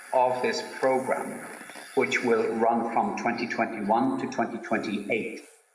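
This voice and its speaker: Slowly paced to a fair degree, a man with an Irish accent talks amid noticeable background noise and audible room echo. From Ireland. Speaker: science policy speaker at a conference. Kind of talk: conference talk. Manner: hesitant, repeating words. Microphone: slight echo.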